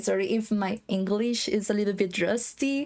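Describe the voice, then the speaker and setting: A woman with a slight Spanish accent speaks at a fairly high pitch. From Costa Rica. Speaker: game housing designer. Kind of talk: casual chat.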